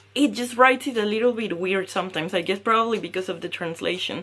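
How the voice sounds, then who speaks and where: A woman speaks at a fairly high pitch in a bright, sharp tone. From Mexico. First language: Spanish. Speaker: knitting podcaster. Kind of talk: casual podcast talk. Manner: hesitant with fillers.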